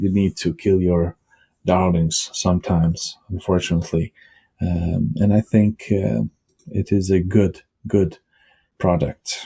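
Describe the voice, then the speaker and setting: Speaking with a Bosnian accent, a man uses a very deep, low pitch and a dark, mellow tone that is somewhat breathy, keeping very even loudness at a fairly slow pace with long, frequent pauses. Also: ordinary pitch variation, dry, close sound with no echo. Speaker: tech vlogger and writer. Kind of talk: casual vlog talk. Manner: hesitant, with fillers.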